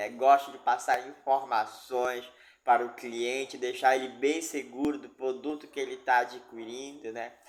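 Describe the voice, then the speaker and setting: A man of medium pitch speaks at a fairly slow pace with monotone, flat intonation and big swings in loudness. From Amazonas, Brazil (Itacoatiara). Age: 30s. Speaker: job seeker, dance teacher. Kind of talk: job interview self-presentation.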